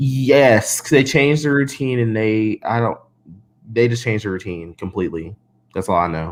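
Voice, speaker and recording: Lively intonation marks this man's plain, everyday voice, delivered at a medium pitch and moderate pace with an American accent. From Northern California. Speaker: cheerleading commentator. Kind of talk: casual chat. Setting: live stream.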